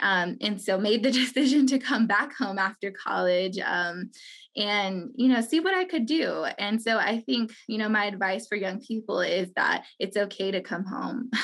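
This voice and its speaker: A woman with an American accent talks at a moderate pace, with hardly any pauses. Hers is an unremarkable speaking voice, fairly high in pitch, with ordinary pitch variation. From Navajo Nation, Monument Valley, Utah. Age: 20s. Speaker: community center director. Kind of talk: interview.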